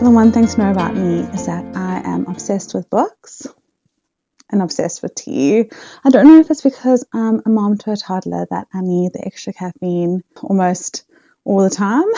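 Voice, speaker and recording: In a South African accent, the intonation is lively and the pace moderate. Loudness swings widely. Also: woman, medium pitch for a woman. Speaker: book vlogger. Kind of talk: casual vlog chat.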